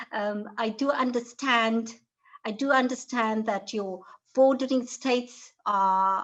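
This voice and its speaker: Against a quiet background, a woman talks at a moderate pace in a high pitch with fairly even intonation. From South Africa. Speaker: law professor. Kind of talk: Q&A after keynote. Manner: repetitive, halting.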